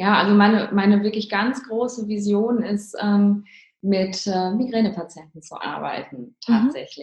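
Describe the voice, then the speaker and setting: A woman with a plain, everyday voice speaks at a fairly slow pace in a medium pitch, with ordinary pitch variation and big swings in loudness. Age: 30s. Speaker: neurologist and ayurveda practitioner. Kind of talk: interview. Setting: remote call. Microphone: poor audio quality.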